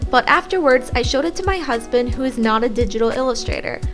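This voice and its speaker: A woman talking at a fairly quick pace, with music in the background. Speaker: digital artist. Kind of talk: tutorial narration. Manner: polite customer-service tone.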